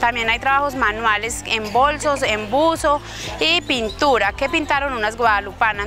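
Clear music plays in the background while a woman speaks in a high pitch. The sound is dry with no echo, and her pitch variation is ordinary. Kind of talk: interview answer. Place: street.

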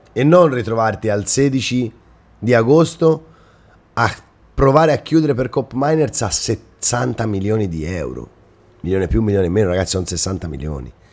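Here a man with a Tuscan accent speaks at a medium pitch in an animated tone, with very wide pitch swings. He leaves long, frequent pauses. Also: moderate pace. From Italy, Romagna (Rimini), later Tuscany; Romagna, Italy. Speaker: football YouTuber. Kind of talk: casual monologue to viewers. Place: home room. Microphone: webcam.

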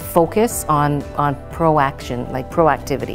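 A woman with a very deep, low pitch and fairly even intonation, with clear music in the background. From Ontario, Canada. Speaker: political party leader. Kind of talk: interview answer. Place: classroom. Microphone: lapel.

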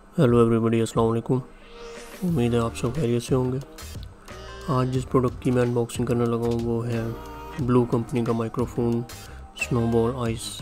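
Over clear music in the background, a man speaks with fairly even intonation. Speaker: unboxing vlogger. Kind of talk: casual unboxing narration. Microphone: studio mic.

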